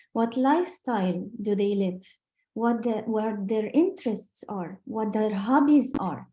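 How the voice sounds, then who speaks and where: A woman with a non-native accent speaks fairly slowly in a fairly high, somewhat breathy voice. Her tone is dark and mellow, and her intonation is lively. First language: not English. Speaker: sales trainer. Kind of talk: business training talk. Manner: halting.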